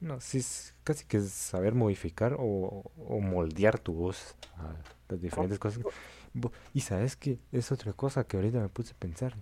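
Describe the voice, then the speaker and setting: A man with a dark, mellow tone speaks with lively intonation and a somewhat breathy quality. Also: fairly low pitch for a man, moderate pace. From Central America. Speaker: podcast co-host and editor. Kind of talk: casual chat.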